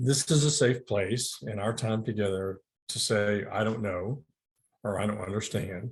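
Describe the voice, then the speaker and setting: Against a quiet background, a man talks fairly slowly in a somewhat breathy, fairly low voice with ordinary pitch variation. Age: 60s. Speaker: licensed counselor and addiction therapist. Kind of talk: webinar presentation. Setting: virtual talk. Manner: hesitant, many fillers.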